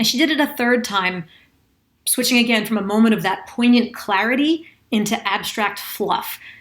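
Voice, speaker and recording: A woman has an unremarkable speaking voice, fairly high in pitch with ordinary variation, at a moderate pace. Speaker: executive communication and vocal presence coach. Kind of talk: casual commentary to camera.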